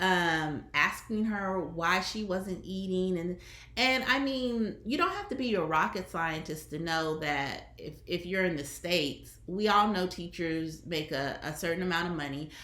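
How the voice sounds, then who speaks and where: A woman with a Southern US accent speaks at a fairly slow pace and fairly low pitch, with ordinary pitch variation and hardly any pauses. Audible room echo and noticeable background noise fill the recording. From US Deep South. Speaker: online commentator, former teacher. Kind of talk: casual commentary monologue.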